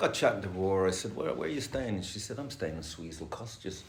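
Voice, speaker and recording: With audible room echo, a man speaks at a very fast pace in a very deep, low pitch. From Ireland. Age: 60s. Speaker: recovering addict sharing at a meeting. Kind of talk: recovery meeting share. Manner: casual, swearing, hesitant fillers.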